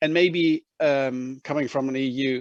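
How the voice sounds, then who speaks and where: A man's medium-pitched voice with a German accent, dry and close with no echo, against a quiet background. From Germany. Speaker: EU official. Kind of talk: conference closing remarks. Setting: video call. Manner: halting, many fillers.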